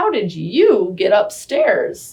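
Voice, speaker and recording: A woman puts on a character voice. She pitches it extremely high. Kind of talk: bedtime story. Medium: read story.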